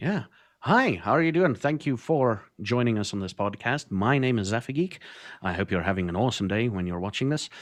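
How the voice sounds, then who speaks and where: A man with a South African accent, fairly quick pace and lively intonation against a quiet background. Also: medium pitch for a man. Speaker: streamer, podcast co-host. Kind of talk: casual chat.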